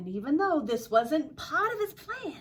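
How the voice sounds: In an Australian accent, the speaker moves at a fairly slow pace with big pitch swings. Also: woman, high pitch for a woman. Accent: imitated Australian.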